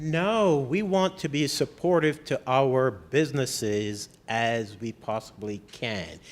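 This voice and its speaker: In a Barbadian accent, the speaker goes at a very slow pace with very wide pitch swings. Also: man, medium pitch for a man. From Barbados. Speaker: mayor. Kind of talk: interview.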